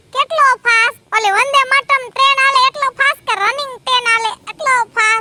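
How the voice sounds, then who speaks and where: Doing a put-on character voice, a woman speaks at an extremely high pitch and a fairly slow pace with fairly even intonation, in a dry, close sound with no echo. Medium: comedy sketch. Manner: teasing, quick-witted.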